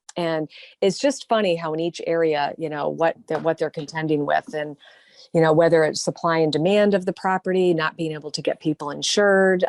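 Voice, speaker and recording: Quick-paced and fairly low-pitched, a woman talks with a normal speaking voice. Her intonation stays fairly even against a quiet background. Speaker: radio talk show host. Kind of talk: radio interview host talk.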